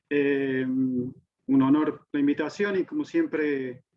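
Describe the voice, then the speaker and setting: In an Argentine accent, a man with a fairly high voice speaks in a monotone, flat intonation. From Argentina. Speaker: physics professor. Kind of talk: lecture. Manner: halting.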